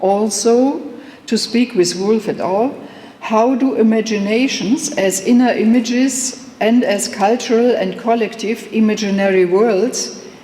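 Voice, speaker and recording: A woman with a German accent at a fairly high pitch and fairly slow pace, with ordinary pitch variation, audible room echo and noticeable background noise. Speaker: professor. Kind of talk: lecture. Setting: conference hall with audience. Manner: reading a prepared text, some hesitations.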